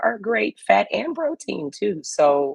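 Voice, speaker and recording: A woman with a Louisiana accent speaks at a fairly low pitch. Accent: Louisiana Southern US. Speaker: health and wellness guest. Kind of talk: casual chat.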